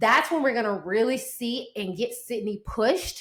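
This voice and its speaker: A woman with an American accent speaks in a high voice at a moderate pace, her tone animated and her intonation lively, on a very clean recording with a silent background. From US South. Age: 40s. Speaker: sports podcast host. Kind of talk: sports commentary podcast.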